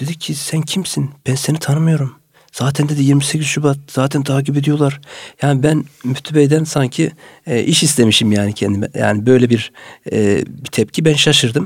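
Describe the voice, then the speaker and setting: A man with a fairly high, somewhat breathy voice talks at a moderate pace on a very clean recording with a silent background. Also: ordinary pitch variation. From Turkey, Samsun Vezirköprü. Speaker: mosque muezzin. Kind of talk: radio interview. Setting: studio.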